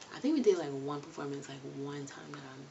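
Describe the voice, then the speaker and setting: A soft-spoken woman with ordinary pitch variation talks over noticeable background noise. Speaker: vlogger. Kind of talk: casual storytelling to camera.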